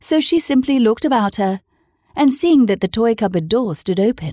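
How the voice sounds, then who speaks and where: Her pitch swings very widely as a woman speaks at a moderate pace in a somewhat breathy voice, captured dry and close with no echo on a very clean recording with a silent background. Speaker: podcast host and storyteller. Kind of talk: literary audiobook reading of a children's classic, bedtime-story style. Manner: animated, playful, child-friendly.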